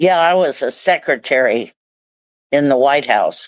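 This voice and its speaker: A woman with a Midwestern American accent and a very deep, low pitch speaks fairly slowly with ordinary pitch variation, the sound dry and close with no echo. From Ohio, USA. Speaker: recovering alcoholic. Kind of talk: interview answer. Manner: humorous.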